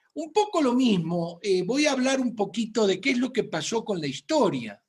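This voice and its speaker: The speaker talks at a moderate pace in an Argentine accent. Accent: Argentine Spanish (Rioplatense). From Argentina, Buenos Aires. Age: 60s. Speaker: physician. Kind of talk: medical lecture.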